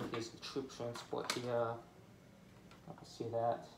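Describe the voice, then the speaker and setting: Loud background noise accompanies speech at a very slow pace. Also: man. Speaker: toy collector vlogger. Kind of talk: angry rant, unscripted, about toys. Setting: home, filming alone with toys. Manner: halting, stuttering, venting. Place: home room. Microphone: phone near.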